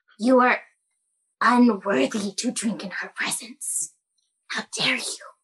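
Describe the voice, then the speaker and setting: A woman's put-on character voice at a fairly slow pace, with long, frequent pauses. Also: fairly high pitch for a woman. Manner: snide, starstruck.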